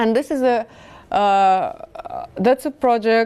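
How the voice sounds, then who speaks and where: Against a quiet background, a woman talks very slowly with lively intonation. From Kazakhstan. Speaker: visual artist and poet. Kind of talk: public talk presenting own artwork. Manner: halting, many fillers and restarts.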